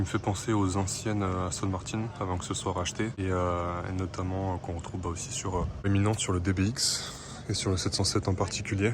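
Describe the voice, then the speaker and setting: A man with a very deep, low pitch talks at a fairly quick pace in a monotone, flat intonation. Audible room echo and noticeable background noise surround him. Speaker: car vlogger. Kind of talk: casual walkaround video commentary. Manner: hesitant, many fillers.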